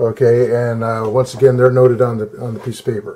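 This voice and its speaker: This is a man's voice. The pitch lands in the medium range. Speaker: coin collector. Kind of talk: tutorial. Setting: at home desk. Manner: halting; loud.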